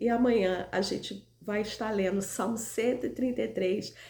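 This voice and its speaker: Her pitch medium and her intonation fairly even, a woman talks in a normal speaking voice. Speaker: lay Bible teacher. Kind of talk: daily devotional Bible teaching.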